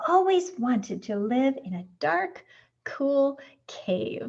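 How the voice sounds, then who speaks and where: A woman's put-on character voice, high-pitched, at a very slow pace with very wide pitch swings. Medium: read story. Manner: innocent, wondering.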